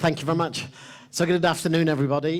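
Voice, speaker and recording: Noticeable background noise surrounds a man whose voice is fairly high. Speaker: wine expert leading a master class. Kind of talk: tasting master class talk to audience. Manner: hesitant with fillers.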